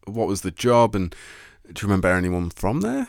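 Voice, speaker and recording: A man's unremarkable speaking voice at a fairly low pitch and a fairly quick pace, with ordinary pitch variation on a very clean recording against a silent background. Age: 20s. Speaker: radio host. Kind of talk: casual chat.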